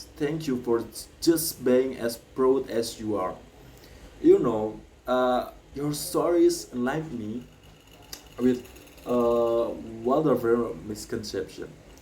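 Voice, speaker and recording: With audible room echo, a man with an Indonesian accent speaks at a very slow pace and medium pitch, with ordinary pitch variation and long, frequent pauses. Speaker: graduate student speaker. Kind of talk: commencement speech. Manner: halting, with fillers.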